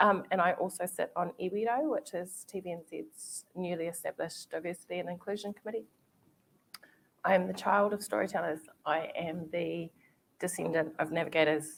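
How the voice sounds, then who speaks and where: With a New Zealand accent, a woman speaks at a fairly low pitch. Her pace is moderate and her pitch varies in an ordinary way. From New Zealand, Māori. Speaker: TV commissioning executive. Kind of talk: panel discussion.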